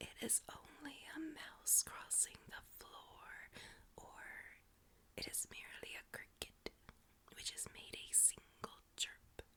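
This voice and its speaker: A woman is whispering, very slowly. Long, frequent pauses break up her words. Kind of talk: ASMR story reading. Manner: soft-spoken.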